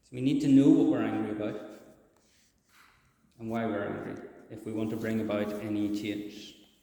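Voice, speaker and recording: A man with a Northern Irish accent speaks at a moderate pace in a dark, mellow tone with fairly even intonation. Audible room echo surrounds his voice. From Northern Ireland. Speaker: charity speaker at church service. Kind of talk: sermon. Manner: hesitant, many fillers.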